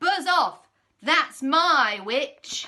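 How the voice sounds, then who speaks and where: A woman puts on a character voice that is croaky, shrill and growling, at an extremely high pitch. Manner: menacing.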